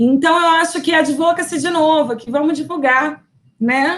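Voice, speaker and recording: This woman talks in a Brazilian accent at a fairly slow pace. Her pitch is high and her intonation lively. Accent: non-local Brazilian accent, noticeable. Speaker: university professor. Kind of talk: lecture. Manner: conversational, frequent fillers.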